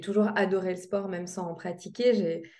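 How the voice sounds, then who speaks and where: Speaking fairly slowly, a woman of medium pitch has a dark, mellow tone, and audible room echo surrounds her voice. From Lorraine, France (Metz). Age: 20s. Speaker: sports nutritionist. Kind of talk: interview.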